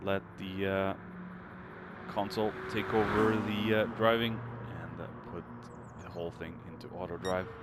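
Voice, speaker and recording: Amid noticeable background noise and audible room echo, a man with a Norwegian accent speaks fairly slowly at a fairly low pitch, with fairly even intonation, big swings in loudness and long, frequent pauses. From Norway. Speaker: sim racing commentator. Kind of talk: live commentary. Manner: halting, many fillers.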